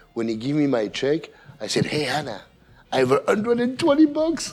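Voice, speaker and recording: With lively intonation and a moderate pace, a man talks through noticeable background noise. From Belgium. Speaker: chef. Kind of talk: interview.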